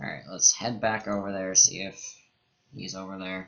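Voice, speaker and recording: This man's voice sits fairly low in pitch, moving at a moderate pace. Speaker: let's play gamer. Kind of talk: gameplay commentary. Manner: quiet.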